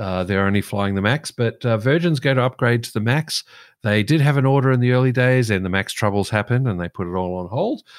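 A man with an Australian accent speaks at a very fast pace in a very clean, silent recording. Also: medium pitch for a man, ordinary pitch variation. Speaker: aviation podcast co-host. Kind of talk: casual chat.

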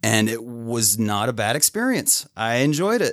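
Recorded very cleanly against a silent background, a man with an unremarkable speaking voice, a medium pitch and an American accent speaks at a moderate pace. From northern Utah, small farm town near Idaho border. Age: 30s. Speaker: plumber and medical cannabis patient. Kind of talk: casual interview chat.

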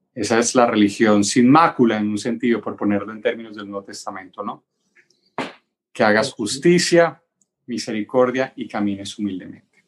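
This man has a medium-pitched, plain, everyday voice. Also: ordinary pitch variation, moderate pace, big swings in loudness. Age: 40s. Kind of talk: casual chat.

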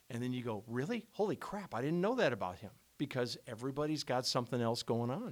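A man at a fairly quick pace, pitched in the medium range. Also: very clean recording, silent background. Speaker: radio host. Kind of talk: casual chat. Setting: studio.

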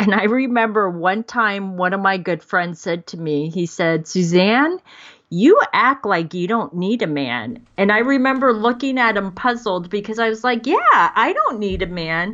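Speaking with hardly any pauses at a fairly slow pace, a woman uses lively intonation at a medium pitch in an ordinary speaking voice. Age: 50s. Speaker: dating and life coach. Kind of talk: casual interview.

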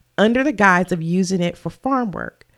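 Her medium-pitched voice shows ordinary pitch variation as the woman talks. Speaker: true crime podcast host. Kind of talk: podcast narration of a true crime case. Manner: stumbles over words.

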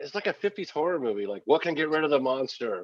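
In a dry, close sound with no echo, a man speaks at a fairly high pitch with very wide pitch swings. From Oregon. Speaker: podcast guest, cannabis grower. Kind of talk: casual chat.

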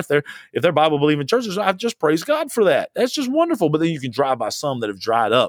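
A man speaks very fast at a fairly high pitch in an animated tone with very wide pitch swings, on a very clean recording with a silent background and a dry, close sound with no echo. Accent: Southern US. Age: 40s. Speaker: pastor. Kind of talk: podcast sermon. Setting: alone in a room.

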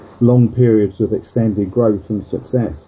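Over noticeable background noise, a man speaks at a medium pitch. His pace is moderate and his pitch variation is ordinary. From England, Luton in Bedfordshire. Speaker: insurance trade association chairman. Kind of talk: casual interview. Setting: Skype call.

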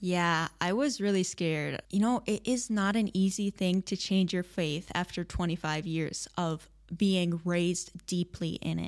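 A woman with a US Midwestern accent speaks fairly slowly, fairly low in pitch, with hardly any pauses. Her pitch variation is ordinary, and the recording is very clean with a silent background. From Michigan, US Midwest. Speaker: religious convert sharing her story. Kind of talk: interview testimony.

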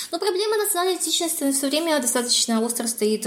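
A woman speaks with lively intonation. Noticeable background noise sits under her voice. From Kazakhstan. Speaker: political science researcher and assistant professor. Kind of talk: interview.

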